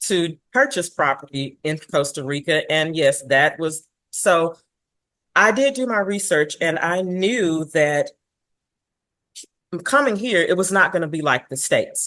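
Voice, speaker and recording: Speaking in a Texan accent, a woman with a fairly low pitch and a bright, sharp tone talks at a fairly slow pace with lively intonation and long, frequent pauses. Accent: Texan American English. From Dallas, Texas. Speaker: expat homeowner, Airbnb host. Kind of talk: interview answer.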